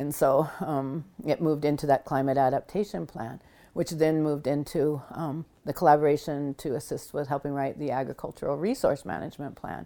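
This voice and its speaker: In a very clean recording with a silent background, a woman speaks at a fairly quick pace in a very deep, low pitch, her tone dark and mellow with ordinary pitch variation. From Blackfeet Nation, Montana. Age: 60s. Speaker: public health researcher and nonprofit founder. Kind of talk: interview. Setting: at her home.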